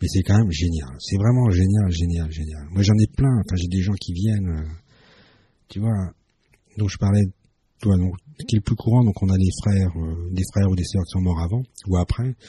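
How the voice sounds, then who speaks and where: A man with a very deep, low pitch and a dark, mellow tone speaks at a moderate pace with ordinary pitch variation, somewhat breathy, with long, frequent pauses, in a dry, close sound with no echo. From France, Strasbourg (Alsace). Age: 50s. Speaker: family constellation therapist. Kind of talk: radio interview.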